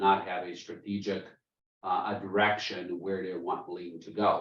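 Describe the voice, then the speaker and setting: A man talks in a fairly low pitch, with audible room echo in the space. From Germany (born in Bosnia). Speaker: business consultant, presenter. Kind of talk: webinar presentation. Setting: video call. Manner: many filler ums and uhs.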